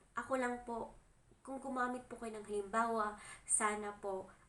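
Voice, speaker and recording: There is audible room echo around this woman's voice. She has a fairly high pitch and keeps a moderate pace. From Cordillera, northern Philippines (Igorot). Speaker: vlogger. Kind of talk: solo vlog commentary. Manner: formal.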